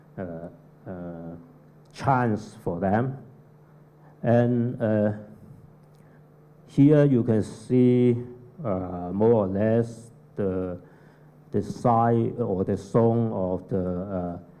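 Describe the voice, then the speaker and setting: Against audible room echo, a man with a non-native accent and a fairly low pitch speaks at a very slow pace in a dark, mellow tone, leaving long, frequent pauses. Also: ordinary pitch variation. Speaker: architect. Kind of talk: conference presentation. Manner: halting, many fillers.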